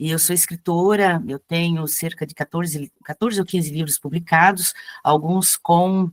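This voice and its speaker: Dry and close with no echo, a plain, everyday voice from a woman comes at a fairly low pitch, a fairly slow pace, and fairly even intonation. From Blumenau, Santa Catarina, southern Brazil. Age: 60s. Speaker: cultural activist and writer. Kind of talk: introduction in an online class. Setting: video call.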